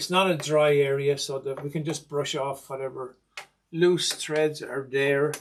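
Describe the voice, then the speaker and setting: In an Irish accent, a man speaks at a fairly slow pace. His fairly high voice stays monotone, with flat intonation. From Ireland. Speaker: sewing machine restorer. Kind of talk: tutorial.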